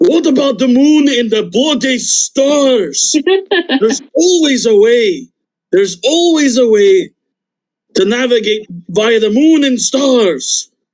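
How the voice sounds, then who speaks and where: A man puts on a character voice. It is extremely high and delivered at a fairly slow pace. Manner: argumentative.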